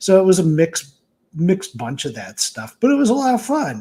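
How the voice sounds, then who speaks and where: The man's somewhat breathy voice has lively intonation and moves at a moderate pace. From Michigan. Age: 60s. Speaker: author and game writer. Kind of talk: interview.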